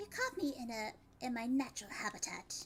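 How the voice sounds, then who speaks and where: A female-sounding, put-on character voice is raised and projected at a high pitch, with clear background noise behind it. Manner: warm, affectionate.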